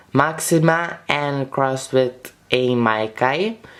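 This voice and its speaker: Noticeable background noise surrounds the speaker. The voice moves at a very slow pace with a non-native accent. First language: not English. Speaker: orchid grower and video creator. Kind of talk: casual tutorial vlog. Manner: hesitant, many fillers.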